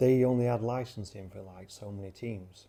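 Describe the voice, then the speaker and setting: A man with a South Yorkshire accent has a dark, mellow tone. He keeps a moderate pace and fairly even intonation. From South Yorkshire, Sheffield. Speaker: vlogger. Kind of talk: casual vlog talk. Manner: rambling, hesitant with many fillers.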